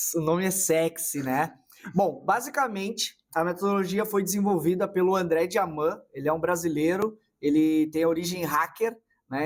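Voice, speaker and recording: A man speaks in a southern Brazilian accent at a moderate pace. His pitch is high. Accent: gaúcho. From southern Brazil (Rio Grande do Sul). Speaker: marketing consultant. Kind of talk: casual interview.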